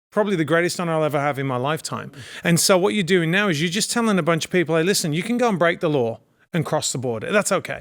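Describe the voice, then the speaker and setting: A man with an English accent talks at a high pitch and a very fast pace, in an animated tone with lively intonation. The recording is very clean, with a silent background. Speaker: actor and producer, political commentator. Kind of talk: political talk show discussion.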